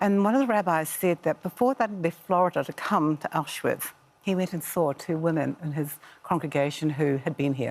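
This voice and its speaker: Speaking with a New Zealand accent, a woman has a fairly low voice. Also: lively intonation, moderate pace. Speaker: author. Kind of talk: TV interview.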